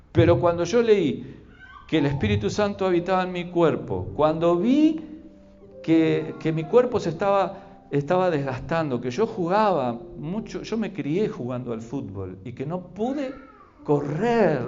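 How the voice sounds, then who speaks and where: Music plays in the background as the speech moves at a fairly slow pace with very wide pitch swings and audible room echo. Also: man, high pitch for a man. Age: 60s. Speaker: pastor. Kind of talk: sermon. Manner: halting, repetitive.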